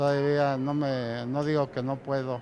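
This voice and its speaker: A man's fairly high-pitched voice with fairly even intonation over music in the background. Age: 70s. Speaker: metro station manager. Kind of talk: interview testimony.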